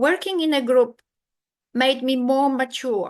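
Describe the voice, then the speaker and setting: A woman speaks in a Polish accent at a high pitch with ordinary pitch variation. Her pace is moderate, and the background is quiet. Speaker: keynote speaker, academic. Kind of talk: conference keynote lecture. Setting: video call, online conference. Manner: halting, with false starts.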